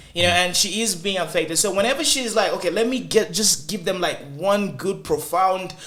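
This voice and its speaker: A Zambian accent comes through at a moderate pace. Background noise is noticeable. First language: Zambian languages (Lozi, Bemba). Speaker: talk show host. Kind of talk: casual panel discussion.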